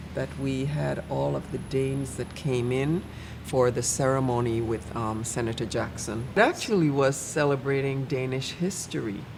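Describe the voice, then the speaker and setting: With a Virgin Islands accent, a woman speaks at a moderate pace in a very deep, low voice with ordinary pitch variation, amid noticeable background noise and audible room echo. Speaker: church member. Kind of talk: casual chat.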